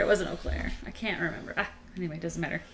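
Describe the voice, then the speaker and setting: In an American accent, the speaker goes at a very fast pace. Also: woman. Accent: Midwestern, mostly shed. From northern Illinois, Chicago area. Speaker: motorcycle channel co-host. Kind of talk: casual live-stream chat.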